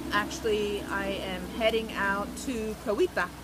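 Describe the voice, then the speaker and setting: A woman at medium pitch amid noticeable background noise. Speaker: travel vlogger, volunteer on a ranch. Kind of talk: casual talk to camera. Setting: outdoors, rainforest.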